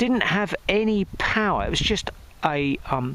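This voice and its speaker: A man speaks with an English accent at a fairly slow pace. His pitch swings very widely, and the sound is dry and close with no echo. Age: 60s. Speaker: music producer and vlogger. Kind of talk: casual vlog monologue. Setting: outdoors. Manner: rambling, hesitant with fillers.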